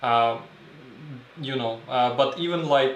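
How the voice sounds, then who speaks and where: A man with a non-native accent speaks at a fairly slow pace and a medium pitch. Noticeable background noise and audible room echo fill the recording. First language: not English. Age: 30s. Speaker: film photographer and video creator. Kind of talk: livestream tutorial. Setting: home darkroom livestream. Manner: halting, many fillers.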